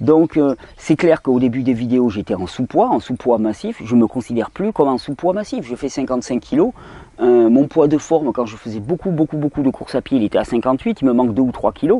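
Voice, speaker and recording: Recorded dry and close with no echo, a man talks at a fairly quick pace with lively intonation and a medium pitch. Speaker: health video host. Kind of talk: video Q&A monologue.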